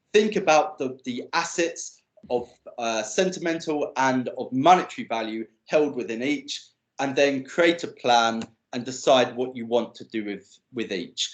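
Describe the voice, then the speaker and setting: An unremarkable speaking voice from a man, medium in pitch, at a fairly slow pace with lively intonation and big swings in loudness. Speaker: digital legacy speaker. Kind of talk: presentation.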